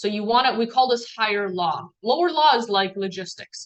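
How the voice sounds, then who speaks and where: A woman speaks at a moderate pace in a medium pitch. She has a non-native accent. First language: not English. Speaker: team trainer. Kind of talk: training talk. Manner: casual, filler-heavy.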